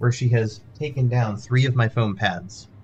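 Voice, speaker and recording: This man's voice comes across as somewhat breathy. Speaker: gaming streamer. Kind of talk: live gameplay commentary. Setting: home office stream room with sound padding. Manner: casual, chatty.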